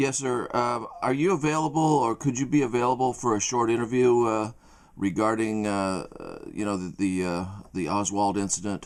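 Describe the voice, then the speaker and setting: At a moderate pace, an ordinary speaking voice shows ordinary pitch variation. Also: man, medium pitch for a man. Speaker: interviewer. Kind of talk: interview question.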